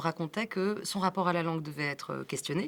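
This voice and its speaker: A woman speaks with fairly even intonation. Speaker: film director. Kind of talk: interview. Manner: fast.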